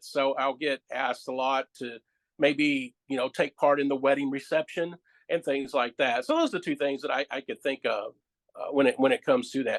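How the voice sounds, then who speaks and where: A man at a moderate pace, relaxed in tone, with a dry, close sound and no echo. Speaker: public address announcer and training manager at a call center. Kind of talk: interview answer. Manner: relaxed, conversational.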